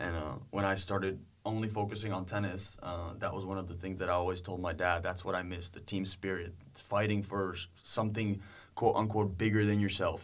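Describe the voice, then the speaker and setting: With a Czech accent, a man with a very deep, low pitch talks at a fairly quick pace in a monotone, flat intonation, with audible room echo. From Czech Republic, Prague. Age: 20s. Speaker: university student tennis player. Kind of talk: interview.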